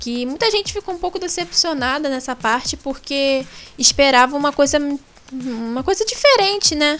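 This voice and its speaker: A woman's high voice with lively intonation moves at a moderate pace against noticeable background noise. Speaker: gaming podcast co-host. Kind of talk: casual chat.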